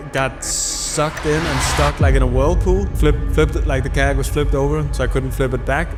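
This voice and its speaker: Audible room echo surrounds a man's voice. Music plays in the background. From Denmark. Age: 30s. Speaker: adventure traveler. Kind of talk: interview.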